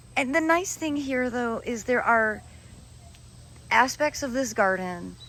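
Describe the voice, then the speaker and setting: A woman speaks at a fairly slow pace with a high pitch. Her intonation is lively. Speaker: garden video creator. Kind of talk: casual chat. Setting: outdoors. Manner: animated.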